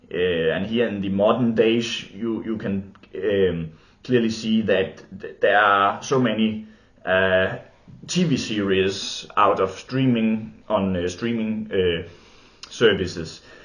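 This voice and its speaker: In a room with audible echo, a man with a Danish accent speaks at a very slow pace and a fairly low pitch with fairly even intonation. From Denmark. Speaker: film and TV video maker. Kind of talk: unscripted monologue. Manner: halting, many fillers.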